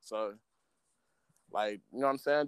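This man has an ordinary speaking voice with an American accent, pitched at a medium level. He talks fairly quickly, and the sound is dry and close with no echo. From South Central Los Angeles. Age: 20s. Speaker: rapper. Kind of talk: casual chat. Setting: video call.

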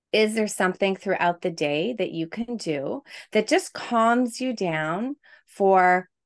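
Against a quiet background, a woman with a plain, everyday voice speaks at a fairly slow pace and medium pitch with lively intonation, in a dry, close sound with no echo. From Quebec, Canada. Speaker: stress and burnout coach, speech pathologist. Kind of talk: podcast interview.

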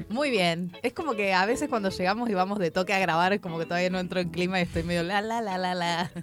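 With music in the background, a woman at medium pitch talks at a very fast pace, hardly pausing, her pitch varying in an ordinary way. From Chubut, Argentina. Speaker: podcast co-host, comedian. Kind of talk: casual chat. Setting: radio studio.

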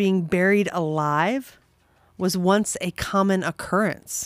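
The background is silent on this very clean recording, where the speech carries lively intonation. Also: woman. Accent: American. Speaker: guest. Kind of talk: casual banter.

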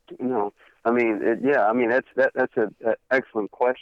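A man with an American accent, very fast pace and fairly even intonation. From Texas (Cleveland, then Fort Worth). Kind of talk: interview.

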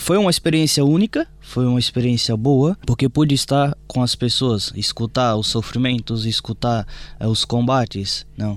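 At a moderate pace with hardly any pauses, a man speaks at a medium pitch with ordinary pitch variation. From Brazil, Brasília. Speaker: priest. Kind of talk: testimony.

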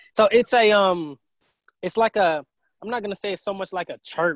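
Dry and close with no echo, a man with a Southern US accent speaks at a high pitch and a moderate pace. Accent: US South. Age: 20s. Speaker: entrepreneur and medical researcher. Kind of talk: interview.

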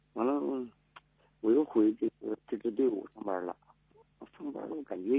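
This man's medium-pitched voice, with ordinary pitch variation, keeps a moderate speed. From Heilongjiang. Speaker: firefighter. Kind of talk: phone-in call. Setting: phone call. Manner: halting.

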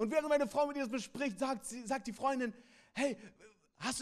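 In an animated tone and at a fairly quick pace, a man speaks with an extremely high pitch. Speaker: pastor. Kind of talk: sermon. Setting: church with congregation. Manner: animated, direct address to the congregation; repeats key phrases for emphasis.

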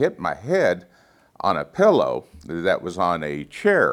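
Vocal fry from a man. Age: 60s. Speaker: guest preacher. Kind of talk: sermon.

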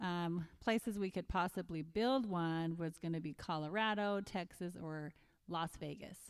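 In a plain, everyday voice, the speaker goes at a fairly slow pace with ordinary pitch variation on a very clean recording with a silent background. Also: woman, fairly low pitch for a woman. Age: 50s. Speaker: nurse, mother of four. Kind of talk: casual chat. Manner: laughs often.

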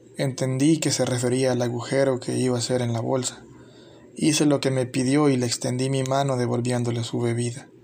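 A man with a medium-pitched voice talks at a fairly quick pace in a flat monotone over noticeable background noise. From El Salvador. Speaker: YouTuber. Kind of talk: scripted narration.

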